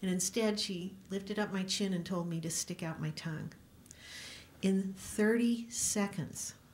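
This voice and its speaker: A woman's somewhat breathy voice at a medium pitch with fairly even intonation. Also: fairly slow pace. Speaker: company CEO and speaker. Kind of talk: speech at a press event. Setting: press club room with audience.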